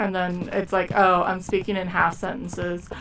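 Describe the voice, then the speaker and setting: Noticeable background noise runs under the recording. The speaker is a woman. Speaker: gaming streamer. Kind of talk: live gameplay commentary. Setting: live stream. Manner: casual, trailing off mid-sentence.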